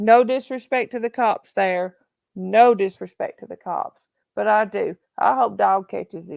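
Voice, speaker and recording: A woman speaks in a Southern accent at a moderate pace. The sound is dry and close with no echo. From Tennessee, Appalachia. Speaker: true crime livestream host. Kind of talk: casual livestream chat. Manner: animated.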